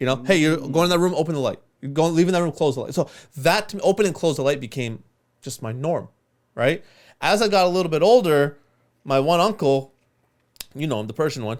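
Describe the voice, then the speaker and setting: Lively intonation marks a man speaking at a very fast pace and fairly high pitch, with long, frequent pauses. The recording is very clean, with a silent background. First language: Urdu. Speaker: podcast co-host who edits the show. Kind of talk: casual chat.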